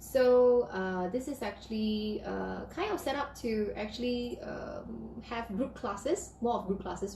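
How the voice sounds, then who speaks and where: There is noticeable background noise and audible room echo as a woman speaks at a moderate pace. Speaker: piano teacher. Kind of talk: live stream talk. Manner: halting.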